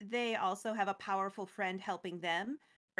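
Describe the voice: Against a hushed backdrop, someone does plain reading aloud, pitch varying in an ordinary way.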